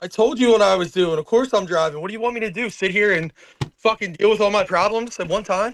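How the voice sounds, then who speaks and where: With an animated tone and ordinary pitch variation, a man with a high voice talks at a very fast pace. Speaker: corrections officer. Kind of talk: casual chat. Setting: in a car.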